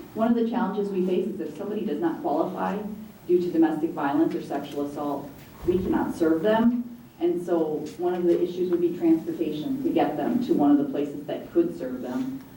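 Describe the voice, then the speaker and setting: A woman with a fairly low pitch talks at a fairly quick pace, her pitch swinging very widely, with audible room echo and noticeable background noise. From eastern US. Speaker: executive director of domestic violence shelter. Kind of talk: panel discussion. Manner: fast.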